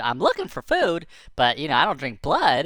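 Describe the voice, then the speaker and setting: Someone puts on a character voice at a middle pitch and a moderate pace. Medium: read story. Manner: casual, friendly.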